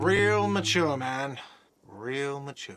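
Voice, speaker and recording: In a whiny, put-on character voice, a man speaks at a medium pitch. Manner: sulky, complaining.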